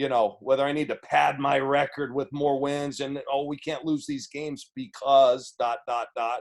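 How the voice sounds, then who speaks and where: Hardly pausing, a man speaks at a moderate pace in a fairly high voice with monotone, flat intonation. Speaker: college basketball head coach. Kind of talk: press conference. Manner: halting, repeats words.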